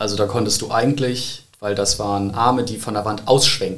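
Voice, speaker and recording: Through audible room echo, a man at fairly low pitch talks at a moderate pace with fairly even intonation. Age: 20s. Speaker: church youth volunteer. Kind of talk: casual chat.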